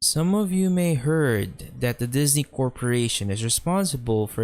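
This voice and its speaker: A man speaks fairly slowly, his intonation lively, while music plays in the background. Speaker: creepypasta narrator. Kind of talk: horror story narration.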